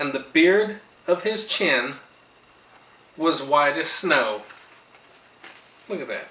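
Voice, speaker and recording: A man with a fairly high pitch talks at a very slow pace, with long, frequent pauses. His intonation is lively, and there is audible room echo. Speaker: grandfather reading to granddaughter. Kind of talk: storybook reading aloud. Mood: warm, gentle. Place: home room. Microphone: camera far.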